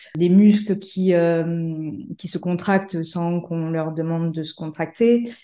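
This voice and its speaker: Over a quiet background, a woman speaks at a fairly low pitch in a dark, mellow tone. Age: 40s. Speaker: pole dancer and stroke survivor. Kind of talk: testimony. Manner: halting.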